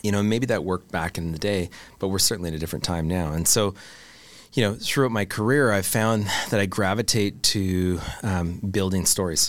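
In a Canadian accent, a man with a fairly low pitch talks at a fairly quick pace in a normal speaking voice, his pitch varying in an ordinary way. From Canada. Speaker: product executive and brand builder. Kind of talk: casual interview conversation. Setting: studio.

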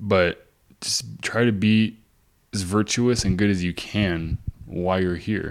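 A man's very deep, low voice, very slow, with ordinary pitch variation, on a very clean recording with a silent background. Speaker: co-host. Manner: casual, profane.

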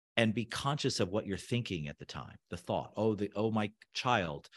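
Against a quiet background, a man with an American accent speaks at a moderate pace, his fairly low pitch showing vocal fry and lively intonation. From US, Southern California. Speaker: architect and designer. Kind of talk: casual interview.

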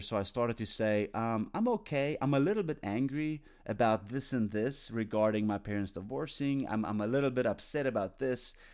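A man talks at a moderate pace with ordinary pitch variation, on a very clean recording with a silent background. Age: 40s. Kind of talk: devotional talk. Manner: halting, many fillers and restarts; casual, conversational.

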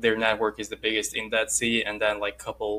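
A man speaks with a Russian accent at medium pitch. The recording is very clean, with a silent background. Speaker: podcast host. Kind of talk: interview.

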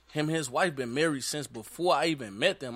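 A man speaks with an American accent in a fairly high voice for a man, his tone bright and sharp. His intonation is lively at a moderate pace, and the recording is very clean with a silent background. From St. Louis, Missouri. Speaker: aspiring inspirational speaker, formerly incarcerated. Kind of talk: casual chat.

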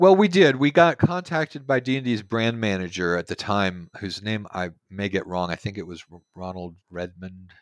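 A man with an American accent speaks in a normal speaking voice, fairly low in pitch, at a moderate pace with hardly any pauses. His intonation is lively and his loudness swings widely. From Texas, Houston. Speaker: game designer. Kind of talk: interview. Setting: remote call.

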